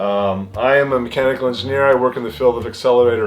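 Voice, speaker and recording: A man talks very fast at a medium pitch with ordinary pitch variation. Background noise is noticeable. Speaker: YouTube hobbyist and mechanical engineer. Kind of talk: casual vlog monologue. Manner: halting, many fillers.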